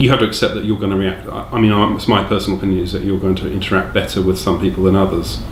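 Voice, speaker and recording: With an English accent and fairly even intonation, this voice sits in audible room echo over noticeable background noise. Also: man. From England. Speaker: direct support worker. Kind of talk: interview. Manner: halting.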